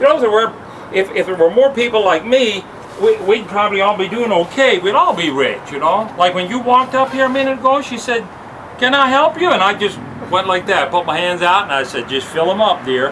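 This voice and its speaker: A man speaks at a fairly quick pace with a high pitch for a man. His pitch swings very widely, and there is noticeable background noise. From Canada, born in the Netherlands. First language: Dutch. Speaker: house painter and wallpaperer. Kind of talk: casual chat.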